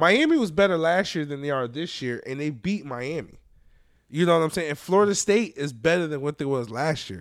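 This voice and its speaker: A man with a normal speaking voice talks at a fairly quick pace with a fairly high pitch and lively intonation, on a very clean recording with a silent background. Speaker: podcast co-host. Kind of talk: casual banter about sports.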